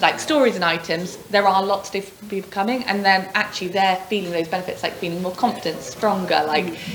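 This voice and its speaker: Amid noticeable background noise and audible room echo, a woman with a medium-pitched voice talks fairly quickly with hardly any pauses. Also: ordinary pitch variation. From England, Oxford. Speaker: gym member, fitness competition finalist. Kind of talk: casual chat.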